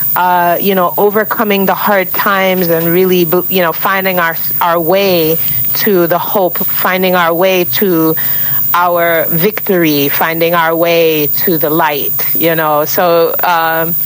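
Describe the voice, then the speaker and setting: Speaking very slowly in a flat monotone, a woman with an American accent keeps a fairly low pitch and very even loudness over noticeable background noise. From Brooklyn, New York, US. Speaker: singer-songwriter. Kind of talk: radio interview. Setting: remote call from Miami.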